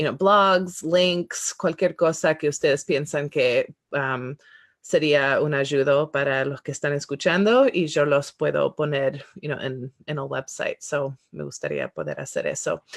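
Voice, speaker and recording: With hardly any pauses but a fairly slow pace, a woman speaks in a very deep, low pitch, the sound dry and close with no echo. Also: ordinary pitch variation. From Spanish-speaking country as young child, then United States. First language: English now dominant (Spanish was first as a child) (speaking Spanish). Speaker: podcast host. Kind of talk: interview closing and podcast outro. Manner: halting with many fillers and English words.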